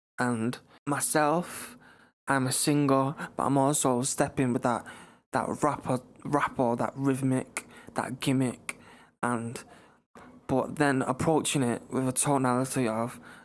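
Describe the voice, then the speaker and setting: Delivered in a Manchester accent, the speech has monotone, flat intonation and a fairly slow pace. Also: man, long, frequent pauses. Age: young. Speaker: singer and rapper. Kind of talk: interview.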